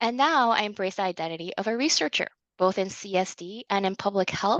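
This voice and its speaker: Recorded dry and close with no echo against a quiet background, the voice moves at a fairly quick pace with ordinary pitch variation. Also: woman. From Canada, immigrated as a child from China via Japan. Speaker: speech-language pathologist and researcher. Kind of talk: conference presentation. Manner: formal.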